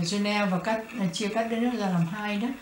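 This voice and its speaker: Over noticeable background noise and audible room echo, a woman speaks at a medium pitch in a flat, monotone way. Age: younger than guest. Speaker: interviewer. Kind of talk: oral history interview. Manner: formal, polite.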